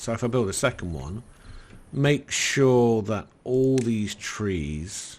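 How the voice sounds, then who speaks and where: A man with a northern English accent speaks very slowly at a medium pitch, his intonation lively against a quiet background. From northern England. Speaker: gaming YouTuber. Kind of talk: let's play commentary. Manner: halting.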